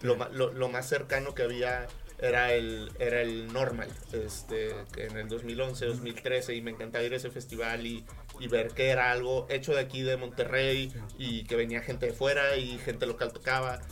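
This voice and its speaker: The man speaks at a moderate pace. Noticeable background noise and audible room echo surround him. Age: 20s. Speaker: musician. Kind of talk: casual chat.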